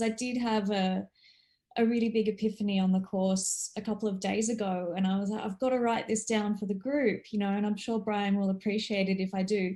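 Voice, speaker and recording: Speaking at a fairly quick pace, this woman has a dark, mellow tone, a medium pitch and a monotone, flat intonation. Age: 40s. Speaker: course participant, former news journalist. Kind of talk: casual chat. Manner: halting.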